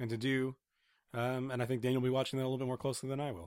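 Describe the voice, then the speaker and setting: A man's medium-pitched voice, dry and close with no echo. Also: very clean recording, silent background. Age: 30s. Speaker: video game podcast co-host. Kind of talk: casual chat.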